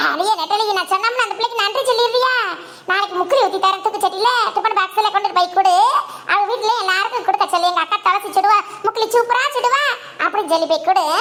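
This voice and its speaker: Against clear background noise, a woman does a cartoonish character voice at an extremely high pitch with ordinary pitch variation. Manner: brisk, scolding.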